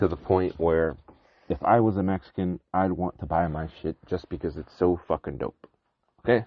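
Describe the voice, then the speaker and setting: This man's pitch is very deep and low. He talks at a fairly quick pace with ordinary pitch variation. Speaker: cactus and agave farmer, podcast host. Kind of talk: casual podcast monologue. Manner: casual, filler-heavy (um, uh).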